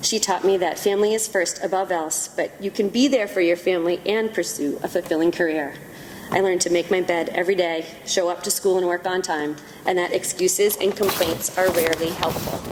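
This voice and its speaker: In an American accent, a woman of medium pitch speaks at a fairly quick pace with fairly even intonation, amid noticeable background noise. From Massachusetts, Woburn (Boston area). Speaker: kindergarten teacher, award winner. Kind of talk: award acceptance speech.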